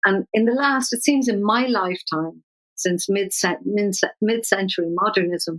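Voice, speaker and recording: A woman with a Dublin accent, medium pitch and a fairly slow pace, her sound dry and close with no echo. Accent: Irish (Dublin). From Ireland. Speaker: poet. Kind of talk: interview.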